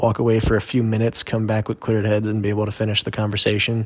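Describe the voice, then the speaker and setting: Speaking at a very fast pace, a man uses a fairly low pitch and a monotone, flat intonation. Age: 20s. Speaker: host's husband. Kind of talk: casual chat.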